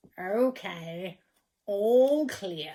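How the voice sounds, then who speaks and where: A put-on character voice that sounds female, pitched in the middle range. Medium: read story.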